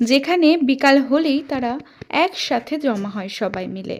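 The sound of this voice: Her lively intonation and high pitch come through as a woman talks at a fairly slow pace.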